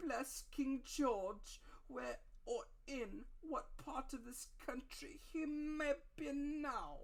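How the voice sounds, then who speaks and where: A put-on character voice, high-pitched and sing-song, delivered at a very slow pace. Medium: read story. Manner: odd sing-song, falsely polite.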